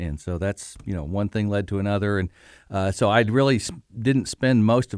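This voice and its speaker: A fairly low-pitched man with a Midwestern American accent, in a very clean recording with a silent background. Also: dry, close sound with no echo. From Bloomington, Indiana, US Midwest. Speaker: retired university auditor. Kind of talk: interview. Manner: hesitant, many fillers.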